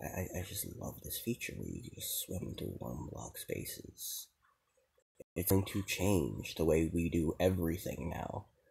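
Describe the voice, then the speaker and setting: A very deep, low male voice, dark and mellow in tone, with vocal fry and ordinary pitch variation. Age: 20s. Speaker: gaming YouTuber. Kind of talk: gameplay commentary. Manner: casual with many fillers.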